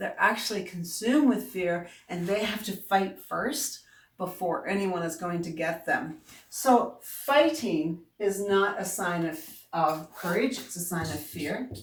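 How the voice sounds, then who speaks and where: A woman with a Newfoundland accent speaks at a fairly slow pace and medium pitch, her intonation lively, with audible echo in the room. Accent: Newfoundland accent, drops and adds H's. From Newfoundland, Canada. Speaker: self-help coach. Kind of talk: motivational video talk. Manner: casual, conversational.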